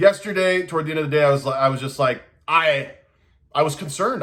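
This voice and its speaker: A man shouts loudly and fairly quickly in a bright, sharp tone with ordinary pitch variation. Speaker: vlogger documenting benzodiazepine withdrawal. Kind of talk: casual personal video diary. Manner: loud, self-described yelling; halting, many repeats and false starts.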